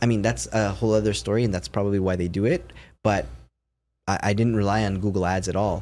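A man speaks very fast with a Canadian accent. His fairly low voice has lively intonation. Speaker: scam baiter. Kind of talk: casual chat.

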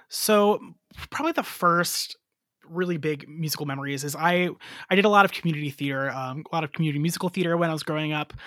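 A man with an American accent at a very fast pace, bright and sharp in tone, on a very clean recording with a silent background. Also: ordinary pitch variation. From US Midwest, northwest Ohio. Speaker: elementary music teacher. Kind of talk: casual interview.

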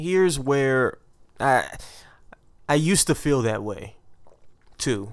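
Lively intonation marks this very slow-paced speech on a very clean recording with a silent background. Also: man, fairly high pitch for a man. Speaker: podcast host. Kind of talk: casual banter then research explainer.

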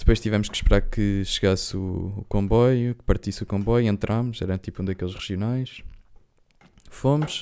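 A man speaks at a moderate pace, his pitch fairly low and his tone dark and mellow. His intonation stays fairly even while his loudness swings widely. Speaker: podcast co-host. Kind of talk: casual chat.

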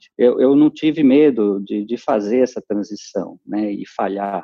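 A man talks fairly slowly, with ordinary pitch variation. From Brazil, São Paulo city. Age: 50s. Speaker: human resources executive. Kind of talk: interview. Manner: halting, many repetitions.

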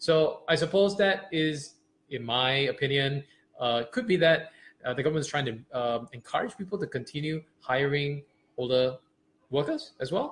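A man's somewhat breathy voice, fairly high in pitch with ordinary pitch variation. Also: moderate pace. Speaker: podcast co-host. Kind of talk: explainer podcast chat.

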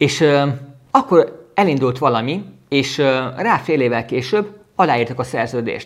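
A very slow, fairly high-pitched male voice with lively intonation. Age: 30s. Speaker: business coach podcaster. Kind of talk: motivational monologue. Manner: halting.

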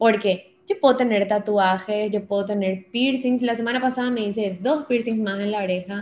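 Hardly pausing, a woman with a plain, everyday voice talks at a moderate pace, her fairly high pitch held in fairly even intonation. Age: 20s. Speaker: radio and TV presenter, influencer. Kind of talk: interview conversation.

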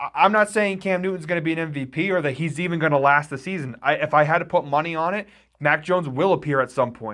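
Against a very clean recording with a silent background, a man with a fairly high pitch talks at a very fast pace in a bright, sharp tone. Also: ordinary pitch variation. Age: 20s. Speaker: sports writer. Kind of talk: casual chat.

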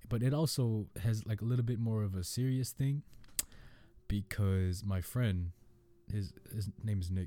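This man has a dark, mellow tone, captured in a very clean recording with a silent background. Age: young. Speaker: podcast host. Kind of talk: casual monologue. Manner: laughs often.

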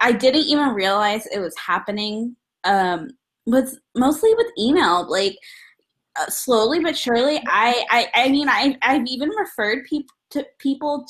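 This woman has a high voice and lively intonation. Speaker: recent graduate and executive assistant. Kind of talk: panel discussion. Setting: video call.

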